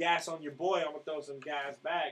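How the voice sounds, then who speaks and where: A man speaks at a fairly quick pace. His voice is fairly high in pitch. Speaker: rapper and singer. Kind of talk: casual chat.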